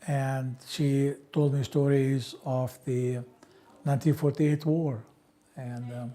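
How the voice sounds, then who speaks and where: Monotone, flat intonation at a very slow pace. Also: man, fairly high pitch for a man. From Palestine, Ramallah. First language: Arabic. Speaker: interviewee sharing life history. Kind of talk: oral history interview.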